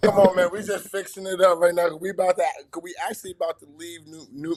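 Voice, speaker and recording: A man speaks very fast in a high, monotone voice with flat intonation and big swings in loudness, with a dry, close sound with no echo. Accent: New York. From New York City (Queens). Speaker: music industry manager and podcaster. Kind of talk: casual chat.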